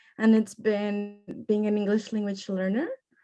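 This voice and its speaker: A woman with a Spanish accent speaks with a dark, mellow tone at a fairly high pitch against a quiet background. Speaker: youth panelist. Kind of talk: panel discussion.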